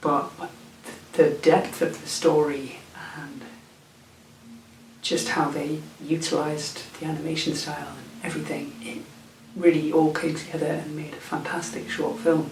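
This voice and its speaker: With a British accent, the speaker moves at a moderate pace with ordinary pitch variation and long, frequent pauses. Noticeable background noise and audible room echo fill the recording. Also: man, fairly high pitch for a man, big swings in loudness. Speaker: film vlogger. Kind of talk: casual vlog. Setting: indoors at night, late. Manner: whispering; halting, repeats words.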